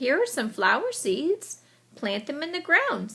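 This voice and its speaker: Putting on a character voice, a woman speaks at a fairly slow pace with a high pitch and very wide pitch swings. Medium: read story. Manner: calm, reassuring.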